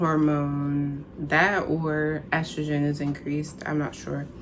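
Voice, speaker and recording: Audible room echo surrounds a woman who speaks at a very slow pace in a very deep, low pitch. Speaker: vlogger. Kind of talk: personal vlog.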